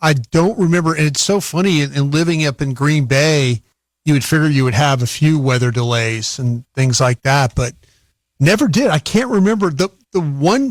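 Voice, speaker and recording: Fairly high-pitched, lively intonation from a man in a normal speaking voice, moderate in pace, very even in loudness, with a dry, close sound with no echo. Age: 60s. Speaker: radio football analyst. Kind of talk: live broadcast commentary.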